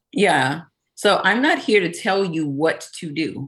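A woman talks in a Southern US accent. Her pitch is fairly low, with ordinary variation. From Louisiana (small town). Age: 50s. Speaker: spiritual mindset coach. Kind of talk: casual interview chat.

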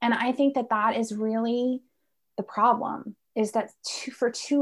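Fairly even in intonation and fairly slow in pace, a woman uses a normal speaking voice on a very clean recording with a silent background. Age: 40s. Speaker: life coach. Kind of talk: interview conversation.

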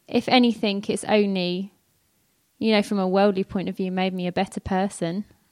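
With a slight London accent, a woman speaks at a moderate pace and a medium pitch with ordinary variation. The sound is dry and close with no echo, on a very clean recording with a silent background. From North London. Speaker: church pastor's wife and emergency planner. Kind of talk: testimony.

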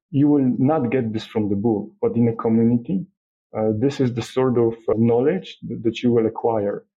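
A moderate pace with ordinary pitch variation. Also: man. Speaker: machine learning engineer. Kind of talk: casual interview.

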